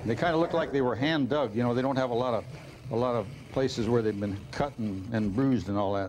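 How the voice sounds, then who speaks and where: The speech moves at a very fast pace with very even loudness and ordinary pitch variation. Light background noise is present. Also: man, medium pitch for a man. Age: 60s. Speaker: comedy cooking show co-host. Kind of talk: comedy cooking show. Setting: studio with audience. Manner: wisecracking. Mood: jokey, deadpan humor. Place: studio. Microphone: lapel.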